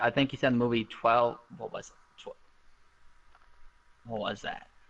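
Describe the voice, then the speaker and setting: Music plays in the background as the speaker keeps a moderate pace with monotone, flat intonation. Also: man. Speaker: contestant on a debate game show. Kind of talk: casual debate. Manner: halting, stuttering.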